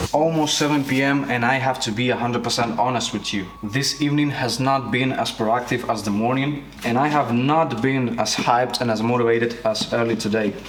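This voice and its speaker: A man with a non-native accent speaks at medium pitch and a fairly quick pace, with hardly any pauses, fairly even intonation and very even loudness. Noticeable background noise and audible room echo are present. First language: not English. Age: 20s. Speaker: vlogger, freelance filmmaker. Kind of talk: daily vlog monologue. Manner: casual.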